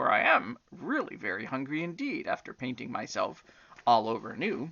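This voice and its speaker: A man puts on a character voice, keeping to a medium pitch and a moderate pace. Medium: read story.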